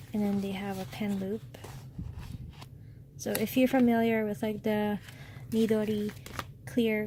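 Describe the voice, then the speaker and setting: A woman talks at a fairly slow pace, with long, frequent pauses. Noticeable background noise runs under her voice. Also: medium pitch for a woman, ordinary pitch variation. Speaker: stationery reviewer. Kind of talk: product unboxing review. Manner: soft-spoken.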